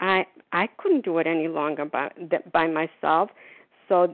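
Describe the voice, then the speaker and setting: Speaking at a fairly slow pace, a woman with fairly low pitch has an ordinary speaking voice and fairly even intonation. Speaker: recovering overeater sharing at meeting. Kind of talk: recovery meeting share. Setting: phone call.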